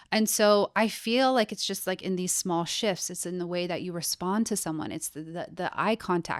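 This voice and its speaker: A woman with a normal speaking voice, medium pitch and ordinary pitch variation, talking at a moderate pace with hardly any pauses on a very clean recording with a silent background. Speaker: personal stylist. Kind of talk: casual chat.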